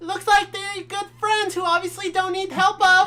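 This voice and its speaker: A female-sounding, squeaky put-on character voice speaks at an extremely high pitch. The pace is moderate and the intonation is monotone and flat. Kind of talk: comic overacting. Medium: read story. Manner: manic, forced cheer.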